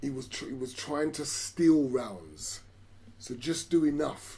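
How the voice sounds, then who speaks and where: A man speaks with a fairly high pitch and a dark, mellow tone that is somewhat breathy. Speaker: boxing commentator. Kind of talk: live sports commentary, watch-along. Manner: excited, animated.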